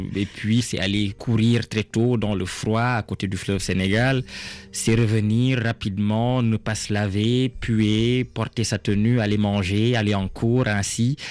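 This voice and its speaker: Against a quiet background, a man speaks at a fairly low pitch. His delivery is very slow and monotone, with flat intonation. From Senegal, Diourbel. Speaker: novelist. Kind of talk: radio interview.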